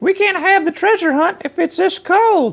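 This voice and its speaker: A woman puts on a squeaky character voice at an extremely high pitch. She keeps a moderate pace and very even loudness. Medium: read story.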